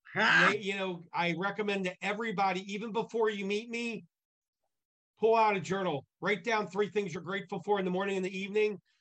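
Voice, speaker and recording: The voice is raised and projected, with a bright, sharp tone, a fairly quick pace and monotone, flat intonation. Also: man, high pitch for a man. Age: 50s. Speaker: business networking group founder. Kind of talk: interview.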